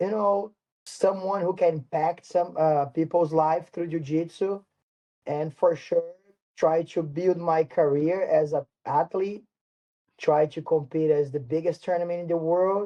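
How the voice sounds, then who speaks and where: With a Portuguese accent and fairly even intonation, a man with a high pitch talks at a fairly slow pace. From Brazil, São Paulo. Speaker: martial arts instructor. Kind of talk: interview. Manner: halting.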